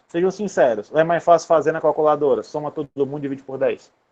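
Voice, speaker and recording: This man talks at a very fast pace in a fairly high pitch, with ordinary pitch variation. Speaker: university lecturer. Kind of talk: online lecture. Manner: casual.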